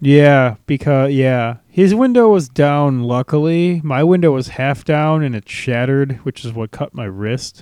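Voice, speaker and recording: A man with an American accent speaks fairly slowly at a fairly high pitch, with ordinary pitch variation. The sound is dry and close with no echo, an unremarkable speaking voice. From US Midwest. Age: 20s. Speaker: podcast host. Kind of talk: casual chat.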